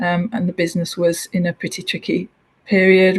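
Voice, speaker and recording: This woman talks at a moderate pace and medium pitch in a Hull accent. Her intonation is monotone and flat, and her voice is somewhat breathy. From northern England, Hull. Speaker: transport executive. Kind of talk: interview. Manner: hesitant fillers.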